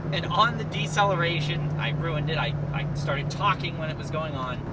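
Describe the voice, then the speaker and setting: A man with a fairly high voice talks at a fairly quick pace, with audible room echo and noticeable background noise. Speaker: car vlogger. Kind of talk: casual car review. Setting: in a car. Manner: loud; animated.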